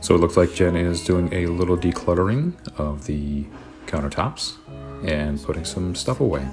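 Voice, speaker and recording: Music in the background behind a man's very deep, low voice, moderate in pace, with ordinary pitch variation. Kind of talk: relaxed voiceover narration of a cleaning video.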